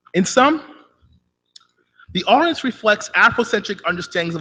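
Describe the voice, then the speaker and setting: His tone bright and sharp, a man speaks at a fairly quick pace with very wide pitch swings. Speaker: conference presenter. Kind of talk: academic paper presentation. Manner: fast.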